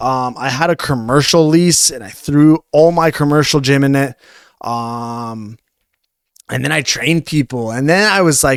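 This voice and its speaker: A man with a Canadian accent and a plain, everyday voice, fairly high for a man, at a fairly slow pace with ordinary pitch variation, in a dry, close sound with no echo. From Canada, Ontario (Newmarket, Toronto area). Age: 20s. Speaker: fitness coach. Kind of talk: podcast interview. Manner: casual, filler-heavy.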